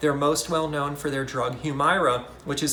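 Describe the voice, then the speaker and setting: A man speaks with fairly high pitch. Audible room echo and noticeable background noise surround his voice. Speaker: investing YouTuber. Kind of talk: casual market commentary. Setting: hotel room. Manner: soft-spoken.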